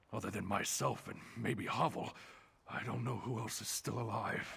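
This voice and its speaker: A man's raspy put-on character voice at a medium pitch. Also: moderate pace. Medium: video game. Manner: shaken, anxious.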